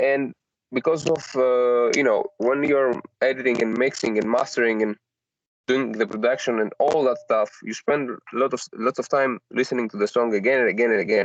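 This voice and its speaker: The man has a non-native accent and a medium pitch. His intonation is fairly even, in a dry, close sound with no echo. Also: moderate pace. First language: not English. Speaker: solo artist and audio engineer. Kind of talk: casual chat. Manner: halting, many fillers.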